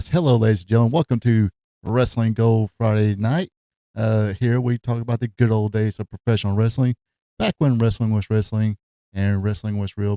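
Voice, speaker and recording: A man with a Southern US accent speaks at a fairly quick pace and medium pitch in an upbeat, dark, mellow tone. The sound is dry and close, with no echo. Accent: Southern American. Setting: podcast or show intro. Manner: upbeat, welcoming, radio-host style.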